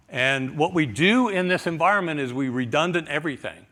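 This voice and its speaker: The recording is very clean with a silent background. A man with a plain, everyday voice and a fairly high pitch talks at a fairly quick pace. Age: 60s. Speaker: IT manager. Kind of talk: conference talk.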